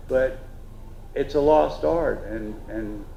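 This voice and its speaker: Audible room echo surrounds the voice. Its pitch varies in an ordinary way. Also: man. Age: 60s. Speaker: traditional cooper, craftsman. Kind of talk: festival panel talk. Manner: halting, many fillers.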